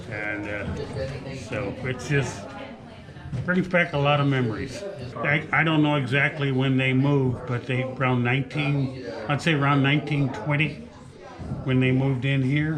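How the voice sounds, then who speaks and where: Fairly even intonation comes at a fairly slow pace, with noticeable background noise and audible room echo. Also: man, medium pitch for a man. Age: 80s+. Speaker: former family member of cabin residents. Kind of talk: reminiscence at open house. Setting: open house event, indoors. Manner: halting. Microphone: rough sound, equipment issues.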